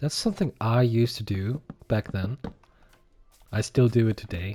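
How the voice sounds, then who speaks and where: In a non-native accent, a man speaks somewhat breathily at a fairly slow pace and medium pitch, with ordinary pitch variation and a dry, close sound with no echo. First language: not English. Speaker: gaming YouTuber, accountant. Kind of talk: casual gameplay commentary. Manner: relaxed, conversational.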